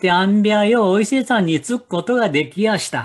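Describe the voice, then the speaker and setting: This is a man speaking. He has a Nagoya accent. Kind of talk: folk tale storytelling.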